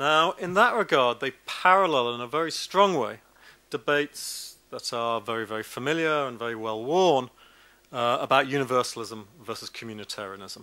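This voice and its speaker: A man's medium-pitched voice with a British accent, bright and sharp in tone, lively in intonation, with big swings in loudness. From Britain. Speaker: law professor. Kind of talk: academic lecture. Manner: fast.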